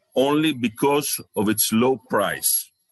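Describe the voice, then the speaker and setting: The speaker has a Greek accent. The intonation stays fairly even. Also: man, dry, close sound with no echo. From Greece. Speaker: researcher and chemical company owner. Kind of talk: conference presentation. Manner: halting.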